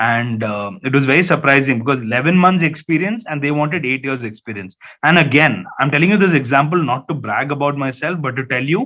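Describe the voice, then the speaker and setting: This man speaks fairly quickly with a Keralan accent. His voice is fairly high for a man, with lively intonation. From India, Hyderabad (Malayali family). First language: Malayalam. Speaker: journalist. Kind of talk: talk to students. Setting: webinar. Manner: animated storytelling; hesitant repetitions.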